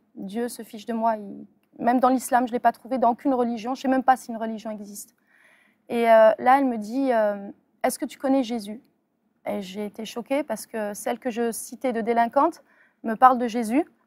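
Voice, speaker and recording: A woman speaks at a fairly high pitch with fairly even intonation and long, frequent pauses. The sound is dry and close with no echo, in a very clean recording with a silent background. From France, Metz. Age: 30s. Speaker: convert giving testimony. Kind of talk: testimony. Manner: halting, many fillers.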